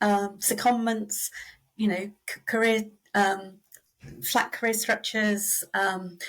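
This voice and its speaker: In a British accent, a woman speaks at a very slow pace with monotone, flat intonation and long, frequent pauses. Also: medium pitch for a woman. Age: 60s. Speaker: reward and recognition consultant. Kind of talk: interview.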